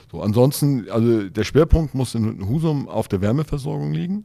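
A man's dark, mellow tone with lively intonation. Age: 60s. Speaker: mayoral candidate. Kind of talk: interview. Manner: hesitant, many fillers.

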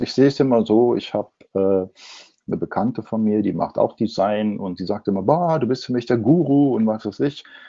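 A man's normal speaking voice, medium in pitch with ordinary pitch variation, at a moderate pace. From Ruhr area, Germany. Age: 60s. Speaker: advertising agency owner and designer. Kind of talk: interview.

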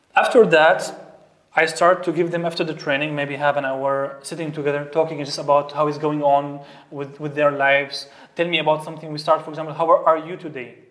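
A man with a fairly high pitch speaks at a fairly quick pace in monotone, flat intonation while his loudness swings widely. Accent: Arabic. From Syria. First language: Arabic. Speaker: basketball coach and youth mental health coach. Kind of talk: interview conversation. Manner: halting, with many repetitions.

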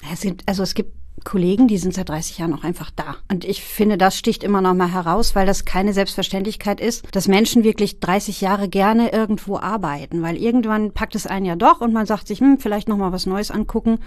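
An unremarkable speaking voice from a woman, medium in pitch, fairly quick with hardly any pauses and ordinary pitch variation. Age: 40s. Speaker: care worker and case manager. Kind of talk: casual chat.

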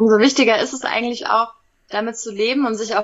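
A woman talks in a normal speaking voice. Her pitch is fairly high, and her intonation stays fairly even. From Hesse, Germany (Wiesbaden). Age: 30s. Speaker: animal physiotherapist, reality TV contestant. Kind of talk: interview.

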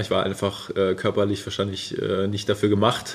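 A man is talking. His pitch is on the fairly low side. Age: 30s. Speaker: ultra-distance cyclist. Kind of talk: casual interview. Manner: hesitant with many fillers.

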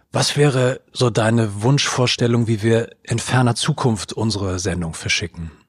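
A man speaks at a medium pitch, somewhat breathy. He leaves hardly any pauses. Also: ordinary pitch variation, moderate pace. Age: 40s. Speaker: podcast host. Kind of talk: interview.

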